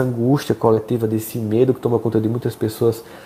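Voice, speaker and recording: Dark and mellow, the tone belongs to a male speaker. He delivers his words fairly quickly. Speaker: spiritual speaker. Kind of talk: live stream talk. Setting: home office, live stream.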